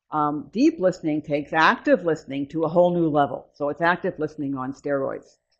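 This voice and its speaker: A soft-spoken woman at a fairly quick pace with lively intonation. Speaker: mindfulness trainer. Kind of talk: workshop talk with guided practice. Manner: voice lowering, calm and soft.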